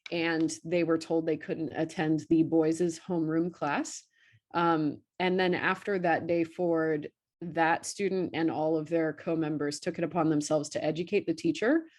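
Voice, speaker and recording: A woman with an American accent, a fairly low pitch and monotone, flat intonation, against a quiet background. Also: moderate pace. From rural central Virginia. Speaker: high school art teacher. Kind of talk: panel presentation. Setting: video call. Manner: casual, many filler ums.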